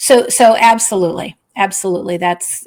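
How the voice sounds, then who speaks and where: The voice carries vocal fry. It comes with an American accent. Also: woman. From Scranton, Pennsylvania, US. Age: 60s. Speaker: novelist. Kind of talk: interview.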